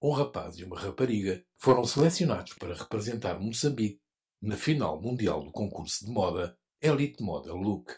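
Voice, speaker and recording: A man speaks at a moderate pace and fairly low pitch, somewhat breathy, with very wide pitch swings. The recording is very clean with a silent background. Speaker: radio reporter. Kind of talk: news report narration.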